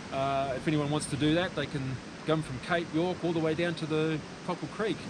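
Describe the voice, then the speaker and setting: With a New Zealand accent, a man speaks at a fairly quick pace and a fairly high pitch amid noticeable background noise. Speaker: motorcycle route mapper. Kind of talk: casual chat.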